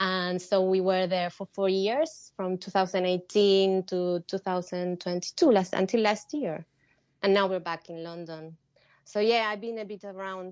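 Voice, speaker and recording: A woman in an Argentine accent, medium in pitch, moderate in pace, with fairly even intonation and big swings in loudness. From Argentina (Salta). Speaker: needlework artist and teacher. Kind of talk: casual interview. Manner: hesitant, with fillers.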